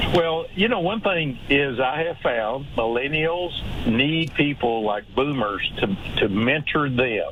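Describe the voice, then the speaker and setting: With an American accent, a man speaks very slowly at a fairly high pitch, his intonation lively and his loudness very even, over noticeable background noise. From Texas. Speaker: workplace culture consultant and author. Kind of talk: radio interview. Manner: hesitant, many fillers.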